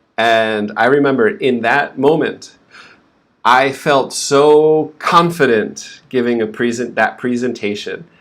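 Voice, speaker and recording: A man with an unremarkable speaking voice at medium pitch. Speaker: English pronunciation teacher. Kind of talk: live stream lesson. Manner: slow, clear teaching pace.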